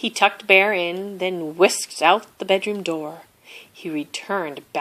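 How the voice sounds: This is a natural reading voice. It carries the text through in that manner.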